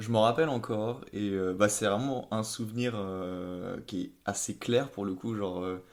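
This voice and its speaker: Fairly slow delivery from a man pitched fairly low. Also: fairly even intonation. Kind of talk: podcast interview answer.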